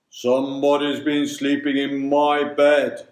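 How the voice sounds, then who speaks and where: A man adopts a put-on character voice, pitched fairly high and delivered at a fairly slow pace. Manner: astonished, gruff.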